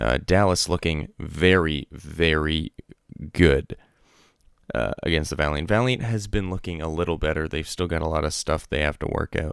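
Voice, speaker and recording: Quiet and showing vocal fry, a man speaks at a moderate pace with a very deep, low pitch and ordinary pitch variation on a very clean recording with a silent background. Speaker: esports podcast host. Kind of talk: casual solo podcast commentary. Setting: at home, late at night. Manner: speaking quietly; hesitant, many fillers.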